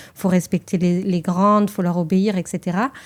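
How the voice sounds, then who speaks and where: A woman speaks at a fairly slow pace in a fairly low pitch, with monotone, flat intonation. The recording is very clean, with a silent background. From France, Toulouse. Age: 30s. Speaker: journalist. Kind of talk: testimony interview. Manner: hesitant.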